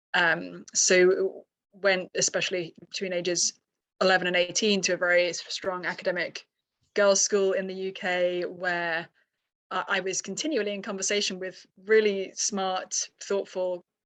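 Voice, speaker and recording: Against a quiet background, a speaker with a British accent talks at a moderate pace with monotone, flat intonation. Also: woman, medium pitch for a woman. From UK. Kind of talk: podcast interview.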